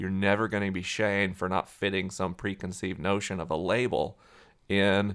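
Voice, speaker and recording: A man with a fairly low-pitched voice is heard in a very clean recording against a silent background. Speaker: author and scientist.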